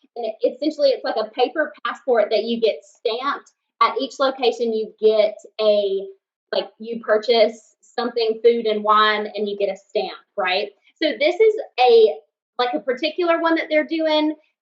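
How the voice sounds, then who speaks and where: In a Southern accent, a woman with a fairly high pitch talks at a moderate pace with lively intonation. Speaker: podcast co-host. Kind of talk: casual chat.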